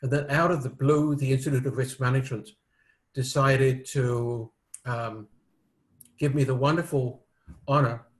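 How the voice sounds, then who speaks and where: Speaking at a moderate pace with a British accent, a man at medium pitch sounds somewhat breathy, keeps a fairly even intonation, and takes long, frequent pauses. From United Kingdom. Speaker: risk management expert and author. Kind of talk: interview. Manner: hesitant, many fillers.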